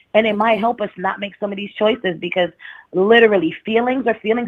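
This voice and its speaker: A woman with a strong New York accent talks at a very fast pace. Her fairly high pitch shows ordinary variation. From New York, the Bronx. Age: 30s. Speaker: caller. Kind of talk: casual chat.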